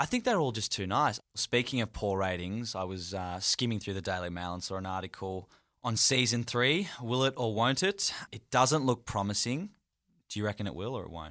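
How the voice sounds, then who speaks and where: In a very clean recording with a silent background, a man with an Australian accent speaks in a fairly low voice. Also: ordinary pitch variation, moderate pace. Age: 20s. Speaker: podcast co-host. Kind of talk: casual chat.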